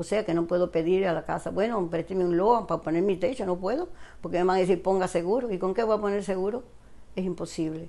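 Delivered at a very fast pace, the voice has a dark, mellow tone and fairly even intonation. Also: woman, medium pitch for a woman. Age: 80s+. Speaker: retiree nominee. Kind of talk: personal appeal; interview answer. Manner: halting. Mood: earnest, pleading, somewhat hesitant. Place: home room. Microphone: lapel.

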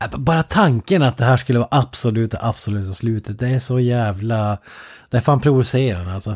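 A man with a plain, everyday voice speaks at a medium pitch with ordinary pitch variation, sounding dry and close with no echo in a very clean recording with a silent background. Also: fairly quick pace. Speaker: podcast co-host. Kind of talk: casual chat.

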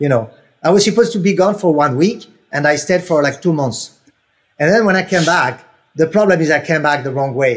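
Against a quiet background, a man talks fairly quickly with lively intonation. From Senegal, West Africa (French family). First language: French. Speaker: helicopter pilot and aerial coordinator for film. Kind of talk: casual interview. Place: home room. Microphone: earbuds.

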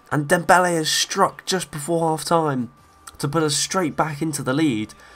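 Over noticeable background noise, a man speaks in an animated tone at a moderate pace with ordinary pitch variation. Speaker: gaming YouTuber. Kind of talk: video game let's play with live-style football commentary. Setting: home recording over gameplay. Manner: animated, excitable, rising in pitch on goals.

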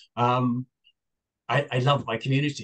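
A man with an English accent, at a medium pitch. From England. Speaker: town board candidate. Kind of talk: candidate forum discussion. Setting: video call.

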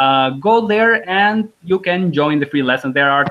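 A man with an Albanian accent at a very slow pace, his intonation lively. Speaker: language teacher. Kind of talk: online language lesson. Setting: live video call. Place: home room. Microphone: video call.

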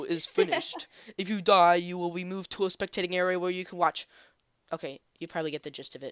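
In a put-on character voice, the speaker sounds nasal at a middle pitch and rattles along at a very fast pace. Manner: exaggerated, silly.

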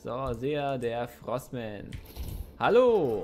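A man talks at a medium pitch. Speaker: gaming youtuber. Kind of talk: let's play commentary. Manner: animated.

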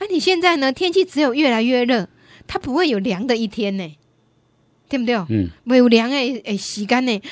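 In an animated tone at a moderate pace, the pitch swings very widely against a quiet background, with a dry sound and no echo. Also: woman, high pitch for a woman. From Taiwan. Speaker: radio host. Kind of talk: radio call-in show. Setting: studio. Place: studio. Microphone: studio mic.

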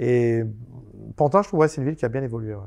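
Against a quiet background, a man's dark, mellow tone holds a medium pitch with ordinary pitch variation. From France, Seine-Saint-Denis (Paris suburbs); France. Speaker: convicted fraudster and author; interview guest. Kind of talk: interview. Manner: halting. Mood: calm storytelling. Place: studio. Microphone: lapel.

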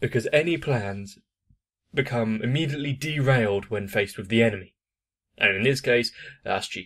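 A man at a fairly quick pace with ordinary pitch variation, over a quiet background. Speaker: anime reaction youtuber. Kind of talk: commentary. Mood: relaxed, amused. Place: home room.

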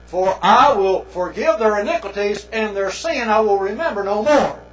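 A man talks at a fairly slow pace, his pitch varying in an ordinary way. Audible room echo is present. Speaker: preacher lecturer. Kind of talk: sermon. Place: church.

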